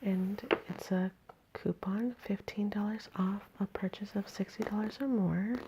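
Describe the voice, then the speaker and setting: Over noticeable background noise, a soft-spoken woman talks at medium pitch and a fairly slow pace, with very even loudness and monotone, flat intonation. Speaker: ASMR creator. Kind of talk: ASMR magazine reading. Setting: at home.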